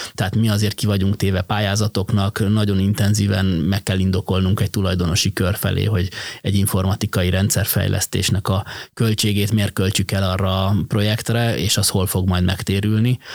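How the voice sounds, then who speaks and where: In a dry, close sound with no echo, a man speaks fairly quickly at a fairly low pitch, with very even loudness and monotone, flat intonation. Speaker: logistics company managing director. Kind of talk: interview.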